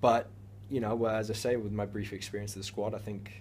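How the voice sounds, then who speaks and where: A somewhat breathy man speaks in a fairly low pitch at a fairly quick pace. There is audible room echo. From United States. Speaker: professional footballer. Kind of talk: interview. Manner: hesitant, many fillers.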